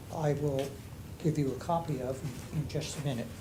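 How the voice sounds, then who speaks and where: Amid noticeable background noise and audible room echo, a man with a fairly high pitch talks at a moderate pace in a monotone, flat intonation. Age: 80s+. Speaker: resident speaking at public comment. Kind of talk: public comment. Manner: halting.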